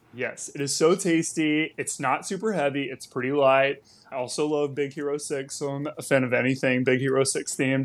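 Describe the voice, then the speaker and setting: In an unremarkable speaking voice, a man with an American accent talks at a fairly quick pace with hardly any pauses, his pitch fairly high and his intonation fairly even. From Texas. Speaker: travel content creator. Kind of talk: casual chat.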